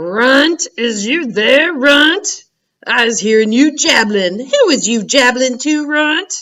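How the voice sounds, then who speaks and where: A woman puts on a character voice, raised and projected at a high pitch. She speaks at a very slow pace. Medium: read story. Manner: bullying, shouting.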